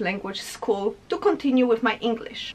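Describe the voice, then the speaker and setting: A woman speaks with a strong Polish accent, her pitch swinging very widely. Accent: heavy Polish. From Poland. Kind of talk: casual talk to camera.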